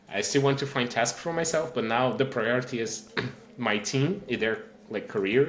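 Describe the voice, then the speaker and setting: A man with a Portuguese accent speaks at a moderate pace, medium in pitch with ordinary pitch variation. Noticeable background noise and audible room echo fill the recording. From Brazil. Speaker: engineering manager and tech speaker. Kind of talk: podcast interview.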